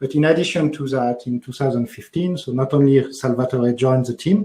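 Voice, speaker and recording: A man with a French accent talks at a fairly quick pace and medium pitch, his tone dark and mellow, somewhat breathy, with ordinary pitch variation. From France. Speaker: developer advocate. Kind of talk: tech talk. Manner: hesitant, many fillers.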